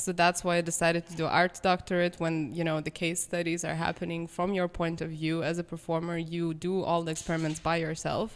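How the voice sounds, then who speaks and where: Speaking in a Lithuanian accent, a woman talks at a fairly quick pace with hardly any pauses. Her voice is fairly low and her intonation monotone and flat. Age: 20s. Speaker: pianist. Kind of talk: casual chat.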